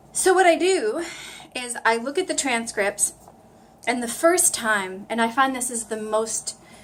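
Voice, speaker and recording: Over noticeable background noise, a woman with an American accent speaks fairly slowly in a high voice with very wide pitch swings. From US East Coast. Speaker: language learner vlogger. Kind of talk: casual vlog tutorial. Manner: animated.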